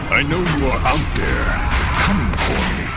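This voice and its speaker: A man performs a put-on character voice. Loud background noise sits behind him. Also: moderate pace. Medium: game stream. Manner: stern, grave.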